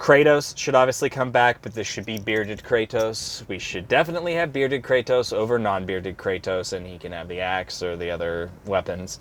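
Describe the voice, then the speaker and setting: A man with a fairly low pitch speaks with lively intonation and hardly any pauses, his loudness swinging widely. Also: fairly quick pace. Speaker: gaming podcaster. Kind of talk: casual solo podcast monologue. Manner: fast.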